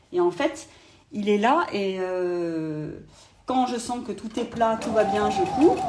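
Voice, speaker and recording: With very wide pitch swings, a woman speaks at a very slow pace. Noticeable background noise sits behind her. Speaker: sewing instructor. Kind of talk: live sewing tutorial. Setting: livestream. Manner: hesitant, many fillers. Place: home room. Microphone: phone near.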